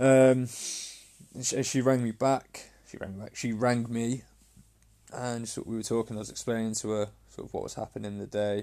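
A man with a dark, mellow tone speaks at a medium pitch in a monotone, flat intonation, yet with a passionate tone and big swings in loudness. His pace is fairly quick, broken by long, frequent pauses. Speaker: fitness coach and podcaster. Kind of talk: solo podcast monologue, personal and emotional. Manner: hesitant, halting, passionate; unscripted, conversational, swears casually.

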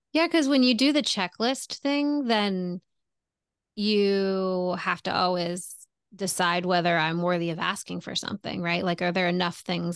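At a fairly slow pace against a quiet background, a woman talks at medium pitch in a plain, everyday voice. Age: 40s. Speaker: relationship coach. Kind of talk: casual chat.

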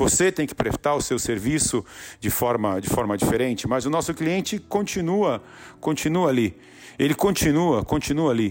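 An animated man at a moderate pace, fairly high in pitch, with very wide pitch swings. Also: very even loudness. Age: 40s. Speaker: entrepreneur and podcast host. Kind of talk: motivational monologue. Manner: repetitive, halting.

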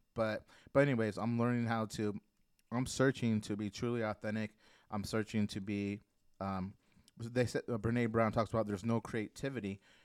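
A man speaks at a moderate pace with a fairly low pitch. The recording is very clean, with a silent background and a dry, close sound with no echo. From Mexican-American. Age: 40s. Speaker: guest author and singer. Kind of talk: casual chat. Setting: studio. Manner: energetic.

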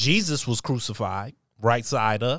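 On a very clean recording with a silent background and a dry, close sound with no echo, a man at medium pitch speaks very slowly with ordinary pitch variation. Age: 40s. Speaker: podcast host. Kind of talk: casual chat.

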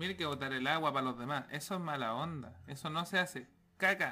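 A man with a Chilean accent talks at a moderate pace in a bright, sharp tone. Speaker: podcast host. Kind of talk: casual chat. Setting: studio. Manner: soothing.

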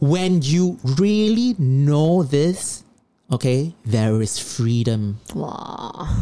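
Speaking very slowly, a man has a fairly high pitch and a dark, mellow tone. His pitch swings very widely. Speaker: podcast co-host. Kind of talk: casual chat.

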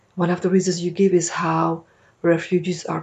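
A woman's fairly low voice with vocal fry. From Lebanon. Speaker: radio host. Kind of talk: scripted narration; radio interview. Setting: studio.

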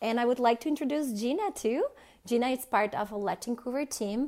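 A high-pitched woman's voice with lively intonation, in a Portuguese accent. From Brazil. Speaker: podcast host, journalist. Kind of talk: interview.

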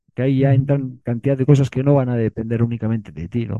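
A man speaking at a fairly quick pace, medium in pitch, with ordinary pitch variation. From Bilbao, Basque Country, Spain. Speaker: writer and filmmaker. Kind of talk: interview. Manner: halting, many repetitions.

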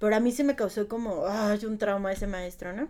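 At a moderate pace, a woman with a normal speaking voice talks at a fairly high pitch with ordinary pitch variation. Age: 30s. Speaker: primary school teacher. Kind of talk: casual interview.

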